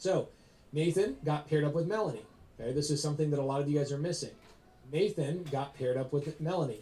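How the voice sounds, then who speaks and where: Breathy to a degree, a man talks at a very fast pace with a dark, mellow tone. His pitch is fairly high, with ordinary variation. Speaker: real estate investor and coach. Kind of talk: live presentation to audience. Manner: animated.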